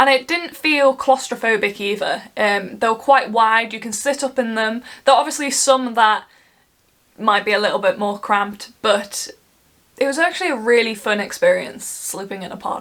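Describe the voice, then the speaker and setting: A woman in an English Midlands accent speaks at a moderate pace with a fairly high pitch. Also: ordinary pitch variation. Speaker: travel vlogger. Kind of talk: casual travel vlog. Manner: animated.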